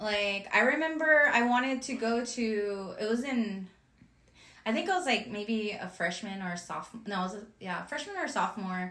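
An unremarkable speaking voice, lively in intonation, at a moderate pace. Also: woman, fairly high pitch for a woman. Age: 30s. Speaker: podcast co-host. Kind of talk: casual chat.

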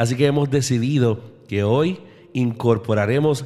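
Medium-pitched man with a dark, mellow tone and ordinary pitch variation. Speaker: radio host. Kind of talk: radio show presenting. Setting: radio studio. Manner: warm, romantic delivery.

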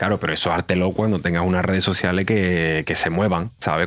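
In a very deep, low voice, a man talks at a fairly quick pace. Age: 30s. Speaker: streamer. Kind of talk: casual chat.

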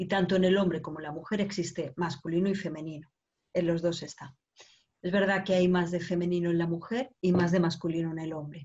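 A woman speaks at a fairly quick pace in a fairly low, somewhat breathy voice. Her intonation stays fairly even. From Spain, Barcelona. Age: 50s. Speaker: women's coach. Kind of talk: interview.

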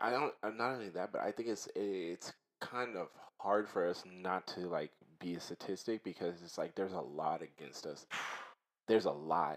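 A man speaks at a fairly low pitch and a moderate pace. His pitch varies in an ordinary way. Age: 20s. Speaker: podcast host. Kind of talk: casual chat.

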